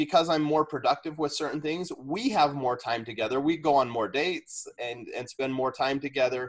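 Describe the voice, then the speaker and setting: This man has a plain, everyday voice. It sits at a fairly high pitch with ordinary pitch variation. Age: 40s. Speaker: fifth grade teacher. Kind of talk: casual interview.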